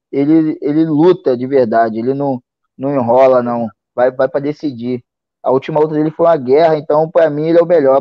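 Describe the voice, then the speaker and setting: With fairly even intonation, a man keeps up a fairly quick pace. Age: 30s. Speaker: MMA fighter. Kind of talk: casual interview.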